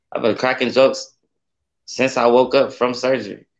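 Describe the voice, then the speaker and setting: In a plain, everyday voice, a man talks at a moderate pace and a medium pitch. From Akron, Ohio (east side). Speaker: rapper. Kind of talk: casual chat.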